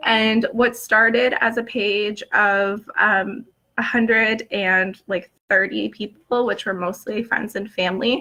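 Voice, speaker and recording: A woman with a fairly high pitch speaks at a very slow pace, with hardly any pauses. Her tone is bright and sharp, her intonation fairly even. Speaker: blogger. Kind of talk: casual chat. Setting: live stream. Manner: hesitant, many fillers.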